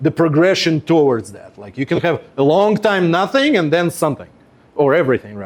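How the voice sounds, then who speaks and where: This man speaks with a Russian accent. His pitch is fairly high. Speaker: web performance engineer. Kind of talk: workshop presentation. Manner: conversational with many fillers.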